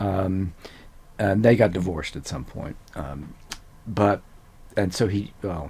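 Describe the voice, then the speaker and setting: With a very deep, low pitch and a dark, mellow tone, a man speaks somewhat breathily at a very slow pace, with ordinary pitch variation and long, frequent pauses. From US South, Louisiana (Cajun, Eunice). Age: 70s. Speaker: neuroscientist. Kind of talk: interview. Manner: hesitant, many fillers.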